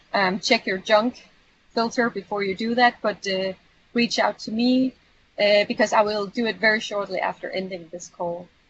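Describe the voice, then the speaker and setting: Somewhat breathy, a woman with a fairly high pitch speaks at a moderate pace with fairly even intonation. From Europe. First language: not English. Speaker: community manager / trainer. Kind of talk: online training session. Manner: hesitant, many fillers.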